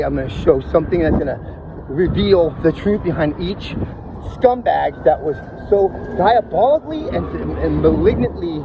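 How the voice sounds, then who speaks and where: A man speaks over noticeable background noise. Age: 50s. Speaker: podcaster. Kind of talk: personal testimony monologue. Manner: mumbling; halting, repeating words.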